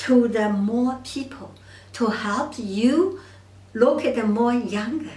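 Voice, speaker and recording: In a Chinese accent, a woman speaks at a high pitch with lively intonation. Her pace is very slow, and the room echo is audible. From China. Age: 70s. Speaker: doctor of Chinese medicine. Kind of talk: monologue to camera. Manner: halting.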